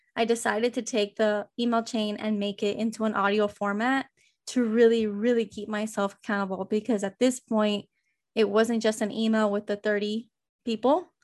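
A woman at a fairly high pitch, fairly quick and monotone with flat intonation, against a quiet background. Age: 20s. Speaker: bakery owner and podcaster. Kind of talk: interview conversation.

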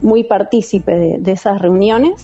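Slowish delivery from a woman, her voice mid-range in pitch and normally varied in tone. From Argentina, San Miguel, Buenos Aires province. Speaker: dancer. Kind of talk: interview. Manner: halting.

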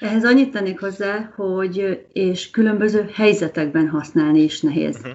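An ordinary speaking voice moves at a moderate pace, with lively intonation and big swings in loudness. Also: woman, medium pitch for a woman. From Hungary. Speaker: language mentor. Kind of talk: casual chat.

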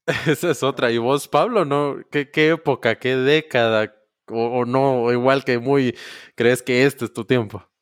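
A man with a medium pitch talks fairly slowly with fairly even intonation. The sound is dry and close with no echo, and music plays in the background. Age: 20s. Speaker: podcast host. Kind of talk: casual chat.

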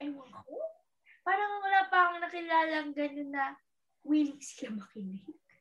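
A woman with a high pitch speaks at a moderate pace, her loudness swinging widely. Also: lively intonation. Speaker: actress. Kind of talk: casual chat.

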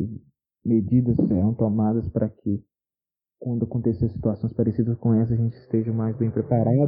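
At a medium pitch and moderate pace, a man speaks in a monotone, flat intonation. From Minas Gerais, Brazil. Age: 20s. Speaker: construction worker. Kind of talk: recorded personal testimony. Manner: hesitant, repeated words.

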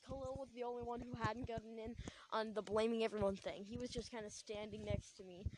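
A woman speaks quietly. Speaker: podcaster telling a personal story. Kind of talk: casual storytelling.

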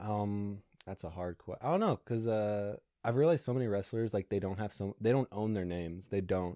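Speaking at a fairly quick pace with an American accent, a man with a fairly low pitch and a dark, mellow tone shows ordinary pitch variation in a dry, close sound with no echo. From Alaska, US. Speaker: stand-up comedian. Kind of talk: casual chat. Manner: animated.

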